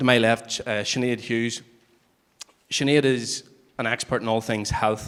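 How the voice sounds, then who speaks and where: With a Northern Irish accent, a man talks at a moderate pace, keeping his intonation fairly even. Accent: Newry. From Northern Ireland, Newry. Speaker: human rights lawyer, panel chair. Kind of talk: moderating a public panel. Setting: public meeting with audience. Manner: hesitant, with fillers.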